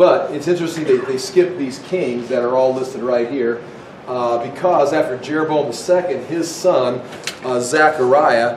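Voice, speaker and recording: The voice moves at a moderate pace with ordinary pitch variation, carrying audible room echo over light background noise. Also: man. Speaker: Bible teacher. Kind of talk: lecture. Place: classroom.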